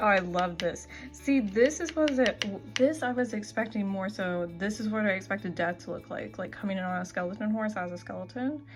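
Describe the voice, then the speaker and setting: Music plays in the background while the speaker goes at a fairly quick pace. The intonation is lively, with hardly any pauses. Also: woman, medium pitch for a woman. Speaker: tarot reviewer. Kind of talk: casual product review walkthrough.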